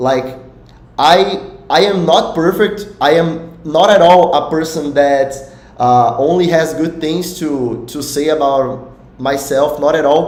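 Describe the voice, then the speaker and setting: Speech in a Portuguese accent moves at a very slow pace with ordinary pitch variation, amid audible room echo and noticeable background noise. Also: man, fairly high pitch for a man. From Brazil. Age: 20s. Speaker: poker coach. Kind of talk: live stream talk. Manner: halting.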